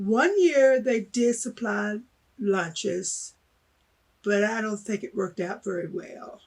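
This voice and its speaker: In an American accent, a woman talks at a very slow pace. Her pitch is fairly high and varies in an ordinary way. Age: 70s. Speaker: former student. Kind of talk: interview.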